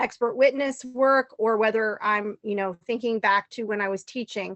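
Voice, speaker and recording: Keeping her intonation fairly even, a woman talks at a moderate pace in a fairly high pitch. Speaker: special education advocate and former teacher. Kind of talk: webinar presentation. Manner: hesitant, many fillers.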